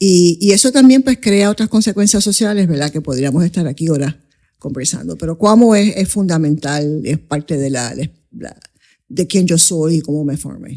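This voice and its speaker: Speaking in a Puerto Rican accent, a woman uses lively intonation and a dark, mellow tone at a fairly low pitch and a moderate pace. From Coamo, Puerto Rico and New York City (Bronx). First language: English (speaking Spanish). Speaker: investment advisor, firm founder. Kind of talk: interview conversation.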